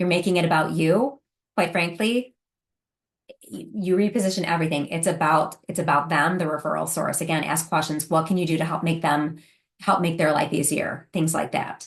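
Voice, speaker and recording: A fairly low, somewhat breathy female voice, fairly quick, with ordinary pitch variation. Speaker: home care business consultant. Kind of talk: webinar presentation. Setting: online webinar. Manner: fast.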